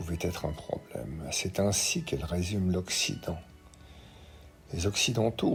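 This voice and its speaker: Over background music, a man with a very deep, low voice speaks with lively intonation. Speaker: opinion columnist. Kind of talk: read opinion commentary.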